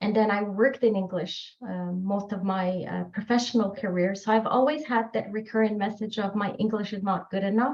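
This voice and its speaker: At a fairly quick pace and with hardly any pauses, a woman speaks at medium pitch. Her voice is somewhat breathy, with fairly even intonation. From Morocco. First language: French. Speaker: author. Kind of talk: podcast interview.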